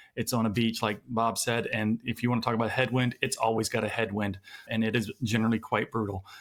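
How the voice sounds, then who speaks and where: Very fast and at a medium pitch, a man talks with monotone, flat intonation and very even loudness. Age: 50s. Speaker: podcast host. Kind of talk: interview.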